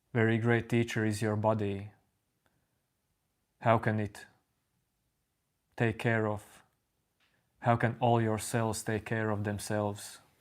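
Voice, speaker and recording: A man speaks quietly in a calm tone at a fairly low pitch, his intonation monotone and flat. His pace is fairly slow, with long, frequent pauses. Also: very clean recording, silent background. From Latvia. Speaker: spiritual teacher streaming live. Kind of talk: live stream talk answering chat. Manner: calm, unhurried.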